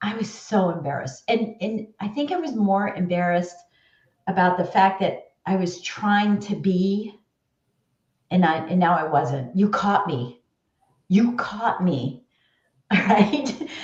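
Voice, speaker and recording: With long, frequent pauses, a woman at medium pitch speaks fairly slowly and somewhat breathily, her intonation lively. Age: 60s. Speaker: business leader and former mortgage professional. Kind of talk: interview storytelling. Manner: animated.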